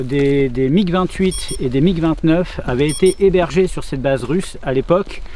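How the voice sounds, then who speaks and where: A high-pitched man with a Bordeaux accent at a fairly slow pace, ordinary pitch variation, and noticeable background noise. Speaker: urban explorer vlogger. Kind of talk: casual vlog commentary. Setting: outdoors. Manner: hesitant, many fillers.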